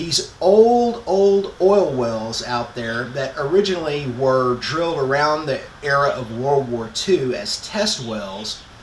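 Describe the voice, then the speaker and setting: Speaking at a very slow pace, a man is heard with audible room echo and light background noise. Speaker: motorcycle vlogger. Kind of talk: casual vlog intro. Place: garage. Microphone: phone near.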